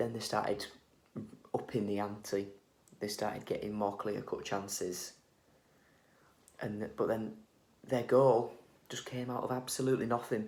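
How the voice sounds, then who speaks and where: Quiet, monotone, flat delivery at a moderate pace, with long, frequent pauses. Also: man, fairly low pitch for a man. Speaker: football fan vlogger. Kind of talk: match reaction vlog. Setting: at home. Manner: quiet, hushed.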